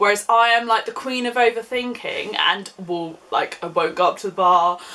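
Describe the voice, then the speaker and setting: Over noticeable background noise, a woman with an English accent speaks with ordinary pitch variation. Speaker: YouTuber. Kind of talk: casual chat. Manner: chatty.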